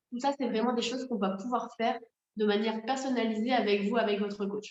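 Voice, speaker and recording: At a very fast pace, a woman speaks in a fairly high pitch with fairly even intonation. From north-eastern France, Moselle. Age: 30s. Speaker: network marketing coach. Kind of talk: sales pitch.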